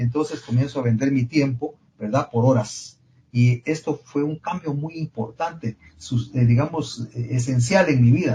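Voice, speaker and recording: A man speaks at a medium pitch in a dark, mellow tone, somewhat breathy, with ordinary pitch variation and a fairly slow pace. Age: 70s. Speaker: engineering professor and consultant. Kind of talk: podcast interview.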